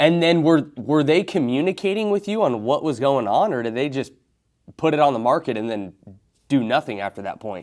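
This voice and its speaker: Delivered at a fairly quick pace, this voice carries an American accent and very wide pitch swings. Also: man, fairly high pitch for a man. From Oregon. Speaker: real estate agent. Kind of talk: sales cold call.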